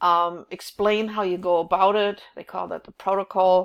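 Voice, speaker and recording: On a very clean recording with a silent background, a woman speaks with a German accent. Her medium-pitched voice keeps fairly even intonation at a moderate pace. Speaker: college instructor. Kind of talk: recorded class overview. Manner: hesitant, many fillers.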